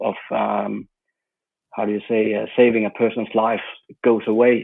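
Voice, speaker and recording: A man with a Danish accent, medium pitch, a fairly slow pace and monotone, flat intonation. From Denmark. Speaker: football journalist. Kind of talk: interview.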